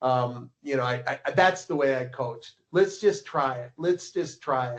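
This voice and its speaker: A man with an American accent has a normal speaking voice. His pace is moderate and his pitch variation ordinary. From Minnesota, US. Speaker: ski coach and publisher. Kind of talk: casual interview.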